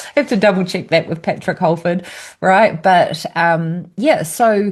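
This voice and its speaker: A woman's voice comes across as somewhat breathy. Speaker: brain health educator. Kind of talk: educational talk. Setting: screen-share video.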